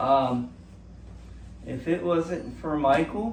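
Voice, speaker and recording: A man at a fairly high pitch, speaking very slowly, with audible room echo. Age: 60s. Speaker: cancer patient vlogger. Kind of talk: casual vlog monologue. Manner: halting, many fillers and restarts.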